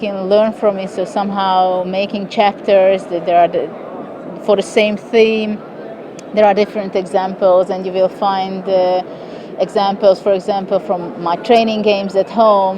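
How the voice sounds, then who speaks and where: A woman with a Hungarian accent speaks in a monotone, flat intonation amid noticeable background noise. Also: medium pitch for a woman, moderate pace. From Hungary. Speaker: chess grandmaster. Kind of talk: interview answer.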